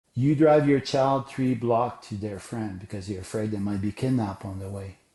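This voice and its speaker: In a fairly low pitch with a dark, mellow tone, a man speaks at a moderate pace, somewhat breathy and with ordinary pitch variation. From Quebec, Canada. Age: 60s. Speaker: sport psychology coach and educator. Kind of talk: podcast interview. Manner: animated.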